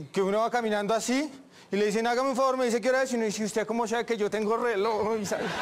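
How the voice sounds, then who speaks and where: The speech moves at a very fast pace with fairly even intonation. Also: man, high pitch for a man. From Bogotá, Colombia. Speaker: stand-up comedian. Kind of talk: stand-up comedy routine. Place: stage.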